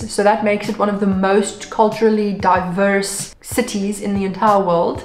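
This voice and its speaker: A woman with a South African accent speaks at medium pitch and a moderate pace in a monotone, flat intonation, with noticeable background noise and audible room echo. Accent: South African English (Afrikaans-speaking). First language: Afrikaans. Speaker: vlogger. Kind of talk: casual vlog talk.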